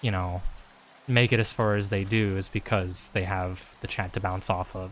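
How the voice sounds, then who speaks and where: Soft-spoken and monotone, a man talks at a moderate pace with flat intonation. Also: fairly low pitch for a man. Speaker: streamer. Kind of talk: casual chat. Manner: casual, filler-heavy.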